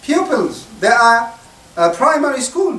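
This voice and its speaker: Delivery is very slow, in an Arabic accent. Noticeable background noise is present. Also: man. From Syria. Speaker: imam. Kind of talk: religious talk to students.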